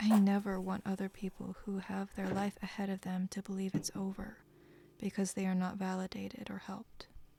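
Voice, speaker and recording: Dark and mellow, a woman's somewhat breathy voice stays at medium pitch with monotone, flat intonation. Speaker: musician; chronic illness survivor. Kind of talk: personal talk to camera.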